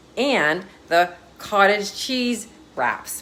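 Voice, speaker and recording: This woman's speech comes with noticeable noise in the background. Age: 50s. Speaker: wellness coach. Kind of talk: social media tips video.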